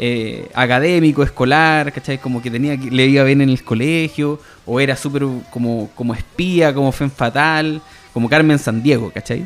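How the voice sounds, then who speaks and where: A man with a Chilean accent speaks at a fairly high pitch, with ordinary pitch variation. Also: moderate pace. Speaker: podcast host. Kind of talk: casual chat. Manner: halting, many repetitions.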